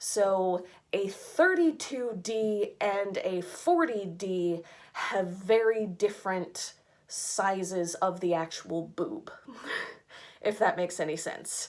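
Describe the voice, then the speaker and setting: A woman's voice at a medium pitch, with ordinary pitch variation and a very slow pace. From United States. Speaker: fashion subscription box reviewer. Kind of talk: casual rant.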